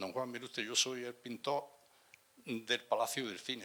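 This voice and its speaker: Bright and sharp in tone, a man's medium-pitched voice moves at a fairly quick pace with fairly even intonation. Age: 70s. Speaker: former cinema billboard painter. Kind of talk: public talk, reminiscing. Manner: halting, hesitant.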